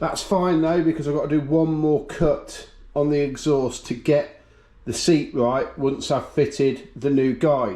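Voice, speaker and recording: A man with a British accent and a dark, mellow tone speaks slowly at a fairly high pitch with ordinary pitch variation. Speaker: engine builder. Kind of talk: workshop tutorial.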